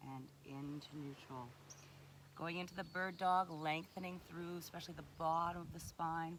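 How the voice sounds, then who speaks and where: Soft-spoken, a woman talks at a fairly low pitch with fairly even intonation. Audible room echo surrounds her voice. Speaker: fitness instructor. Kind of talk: guided exercise instruction. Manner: slow.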